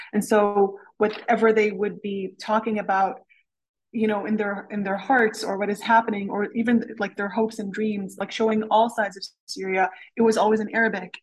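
The voice is somewhat breathy and moves at a moderate pace. Its intonation stays flat and monotone. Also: woman, fairly high pitch for a woman. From Canada. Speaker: novelist. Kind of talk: interview. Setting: lab.

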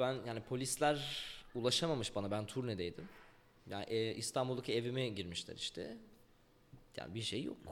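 A man in an ordinary speaking voice, medium pitch, fairly quick pace. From Ankara, Turkey. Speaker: rapper. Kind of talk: interview.

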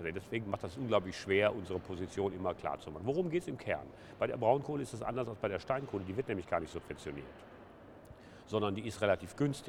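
With lively intonation and a very fast pace, a man speaks in a fairly low voice. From Ruhr area, Essen. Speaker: trade union leader. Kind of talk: interview.

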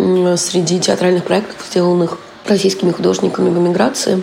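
Against noticeable background noise and audible room echo, a woman with a fairly low voice speaks at a moderate pace with fairly even intonation. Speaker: theatre producer and curator. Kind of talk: interview.

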